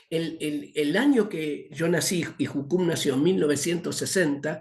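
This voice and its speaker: Audible room echo surrounds speech delivered at a fairly slow pace with ordinary pitch variation. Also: man, fairly high pitch for a man. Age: 60s. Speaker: missions teacher. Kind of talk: lecture. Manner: halting, many fillers.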